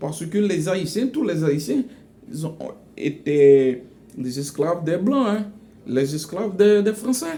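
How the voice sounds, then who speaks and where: A man's high voice with a Haitian accent and lively intonation, at a very slow pace with long, frequent pauses. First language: Haitian Creole (speaking French). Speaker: educational vlogger. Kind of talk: casual monologue. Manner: halting, many repetitions; animated.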